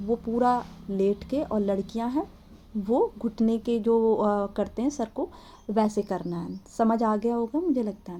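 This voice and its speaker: A woman is talking with ordinary pitch variation. Her voice sits fairly high. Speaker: devotional teacher. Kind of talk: tutorial. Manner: repetitive, instructive. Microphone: no microphone, voice may be faint.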